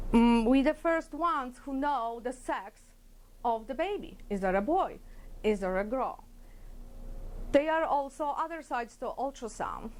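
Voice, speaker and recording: Lively intonation comes through at a fairly slow pace, broken by long, frequent pauses. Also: woman, high pitch for a woman. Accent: Polish. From Poland. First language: Polish. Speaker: ultrasound technologist. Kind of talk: workplace interview talk. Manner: hesitant, with fillers.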